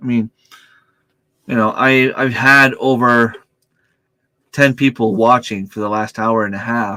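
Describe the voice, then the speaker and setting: Loud and bright with a sharp tone, a man talks at a medium pitch and a fairly slow pace, with monotone, flat intonation and long, frequent pauses. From New Brunswick, Canada. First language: French. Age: 40s. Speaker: homesteading YouTuber. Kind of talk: livestream chat. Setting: home computer room. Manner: speaks loudly to reach mic; hesitant, stumbles over words.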